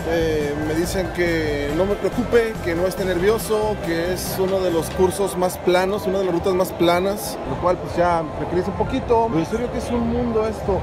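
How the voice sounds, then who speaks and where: A man speaks at a moderate pace with ordinary pitch variation. Clear music plays in the background, and the sound is dry with no echo. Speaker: runner vlogger. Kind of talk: casual vlog chat. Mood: excited, impressed. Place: hall. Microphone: phone near.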